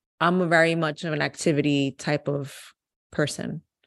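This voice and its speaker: An unremarkable speaking voice from a woman, moderate in pace, with fairly even intonation and a quiet background. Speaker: podcast guest. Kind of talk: casual chat.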